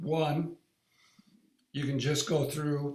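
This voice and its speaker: A man talks in a somewhat breathy voice. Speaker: wellness device user group leader. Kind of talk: live online demo tutorial. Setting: live online meeting.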